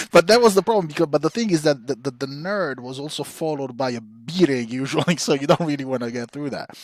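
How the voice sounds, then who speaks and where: Talking at a very fast pace with hardly any pauses, a man with an Italian accent uses lively intonation, a fairly high pitch and big swings in loudness, in a very clean recording with a silent background. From Italy (Rome). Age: 40s. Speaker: podcast co-host, historian. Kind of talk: casual chat.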